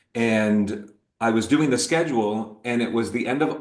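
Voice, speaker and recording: A man's medium-pitched voice with an American accent and ordinary pitch variation. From upstate New York (Scotia, near Albany). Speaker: TV news anchor. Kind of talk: interview.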